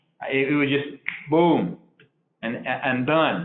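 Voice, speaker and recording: A man talks at a fairly slow pace with a medium pitch. Audible room echo surrounds his voice. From Uruguay. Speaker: architecture firm executive. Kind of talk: interview. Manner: halting, many fillers and repetitions.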